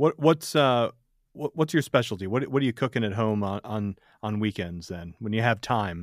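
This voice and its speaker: In a very clean recording with a silent background and a dry, close sound with no echo, a man with an American accent speaks at a moderate pace, medium in pitch, with lively intonation. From Michigan. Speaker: podcast host. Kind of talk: casual chat. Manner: halting.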